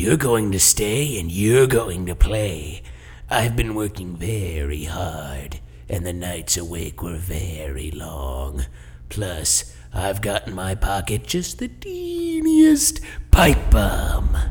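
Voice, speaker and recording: Very deep and low, a man's voice moves at a very slow pace with very wide pitch swings. His tone is menacing and theatrical. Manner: playfully menacing, theatrical.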